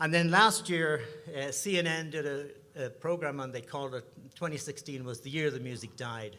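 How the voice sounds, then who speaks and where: Audible room echo surrounds a man with an Irish accent whose fairly high voice shows ordinary pitch variation. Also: moderate pace. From Ireland, Dublin. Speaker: singer-songwriter, bandleader. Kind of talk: stage banter at a concert. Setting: stage with audience.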